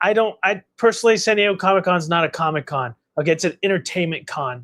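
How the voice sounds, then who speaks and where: Loud and very fast, a man speaks at a high pitch with ordinary pitch variation in a dry, close sound with no echo. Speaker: collectibles channel host, statue unboxer. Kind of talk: casual livestream chat. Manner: animated.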